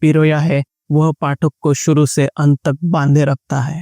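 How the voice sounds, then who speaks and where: In a Marathi accent, a man speaks in a monotone with flat intonation, a fairly high pitch and a dark, mellow tone, recorded dry and close with no echo. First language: Marathi (speaking Hindi). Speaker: book reviewer. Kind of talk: book review narration.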